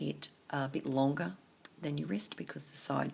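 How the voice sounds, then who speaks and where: A quiet woman speaks with vocal fry. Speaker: craft tutorial maker. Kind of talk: tutorial.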